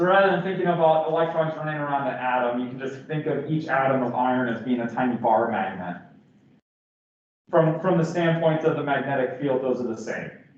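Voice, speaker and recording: Audible room echo surrounds a man with a fairly high pitch. He talks at a fairly quick pace with ordinary pitch variation. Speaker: physics professor. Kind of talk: lecture. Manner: halting, many fillers.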